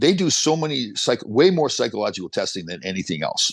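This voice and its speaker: A man with a Canadian accent uses very wide pitch swings and vocal fry against a quiet background. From Canada. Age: 60s. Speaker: former pro hockey player and motivational speaker. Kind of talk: casual interview chat.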